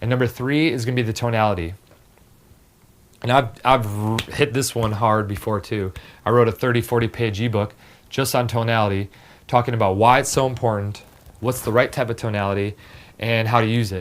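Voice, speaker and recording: Using a raspy, put-on character voice, a man speaks at a fairly quick pace with a medium pitch, fairly even intonation and long, frequent pauses. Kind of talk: explanatory, instructional talk. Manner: authoritative, downward-slanting, firm.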